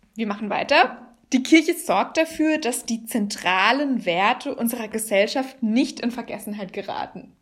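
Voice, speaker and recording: In a plain, everyday voice, a woman speaks with a fairly high pitch and lively intonation at a fairly slow pace, with hardly any pauses. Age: young. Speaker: podcast host. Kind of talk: scripted introduction; interview.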